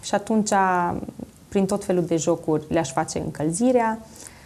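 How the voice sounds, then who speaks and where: Speaking fairly slowly, a woman has a dark, mellow tone and fairly even intonation. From Romania, Zalău; Romania. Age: 20s. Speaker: coach, talk show guest. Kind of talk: TV interview. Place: studio. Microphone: lapel.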